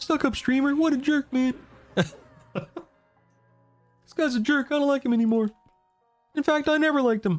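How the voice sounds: A woman's put-on character voice, high-pitched and fairly quick, with long, frequent pauses and faint background music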